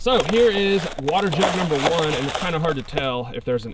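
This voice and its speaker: Intonation is lively and the pace fairly quick. Noticeable background noise runs underneath. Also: man. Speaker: firearms reviewer. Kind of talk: casual video narration. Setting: outdoors. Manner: animated.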